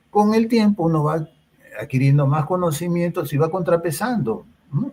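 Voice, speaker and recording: A man talks at a moderate pace in a somewhat breathy voice with ordinary pitch variation. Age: 60s. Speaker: psychologist. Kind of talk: interview. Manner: hesitant, many fillers.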